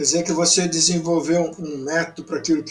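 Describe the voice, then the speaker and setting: A man delivers his words fairly quickly. He uses a high pitch. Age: 70s. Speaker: TV program host. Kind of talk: interview.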